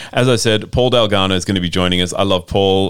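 This speaker talks at a fairly quick pace with an Australian accent and ordinary pitch variation. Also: man. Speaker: radio host. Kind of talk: scripted intro.

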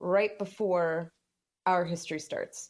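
A woman with a plain, everyday voice at medium pitch, with ordinary pitch variation and a fairly slow pace. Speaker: podcast co-host and historian. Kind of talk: casual chat.

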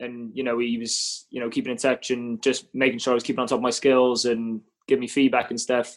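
This man has a Welsh accent. He talks at a fairly quick pace with monotone, flat intonation. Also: medium pitch for a man. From Cardiff, Wales. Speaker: rugby player (fly half). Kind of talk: casual interview chat.

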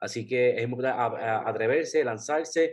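A man speaks at a moderate pace and a medium pitch. He has a plain, everyday voice. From Puerto Rico. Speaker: travel blogger. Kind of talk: casual interview.

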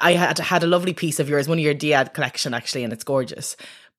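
On a very clean recording with a silent background, a woman talks with a Dublin accent and ordinary pitch variation. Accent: Irish (Dublin). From Ireland, Dublin. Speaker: doctor and poet. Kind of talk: interview. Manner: halting.

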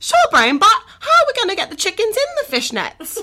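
An extremely high, cartoonish character voice swings very widely in pitch at a fairly quick pace. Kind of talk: cartoon voice. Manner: goofy, naive.

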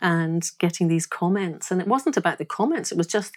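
With a Glaswegian accent, a woman speaks at a fairly low pitch. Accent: Glaswegian Scottish. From Scotland, Glasgow. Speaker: singer and artist. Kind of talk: interview conversation.

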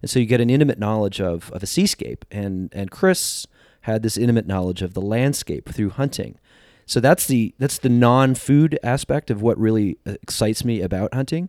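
A man with an American accent and a plain, everyday voice, medium in pitch, with lively intonation at a moderate pace, in a very clean recording with a silent background and a dry, close sound with no echo. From New Jersey. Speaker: wild food writer, cookbook author. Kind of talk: casual interview chat.

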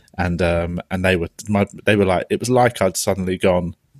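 A man talks at a fairly quick pace, his very deep, low pitch held in fairly even intonation. The sound is dry and close with no echo. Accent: London. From London. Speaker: comedian podcast host. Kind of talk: casual chat.

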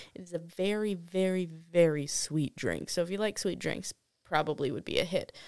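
Speaking at a moderate pace with an American accent, a woman has a plain, everyday voice, a fairly low pitch, and fairly even intonation. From Wisconsin. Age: 20s. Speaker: bartender and server. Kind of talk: casual chat. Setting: studio.

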